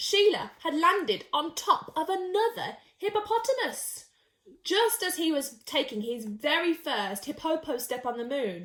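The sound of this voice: Pitched high with a fairly bright tone, a woman speaks at a fairly slow pace and makes big pitch swings.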